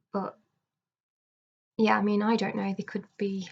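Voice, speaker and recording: Monotone, flat intonation pairs with a somewhat breathy quality. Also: woman. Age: 20s. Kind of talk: casual video diary talk to camera. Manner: hesitant, halting, many fillers.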